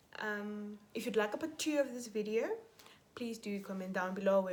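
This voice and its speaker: A woman's medium-pitched voice at a fairly quick pace, with noticeable background noise. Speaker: YouTuber. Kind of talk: vlog monologue. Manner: mumbling; hesitant, many fillers.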